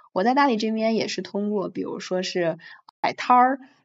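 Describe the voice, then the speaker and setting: With a normal speaking voice, a woman talks at a moderate pace using lively intonation. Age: 20s. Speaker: podcast guest, long-stay traveler. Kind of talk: casual chat.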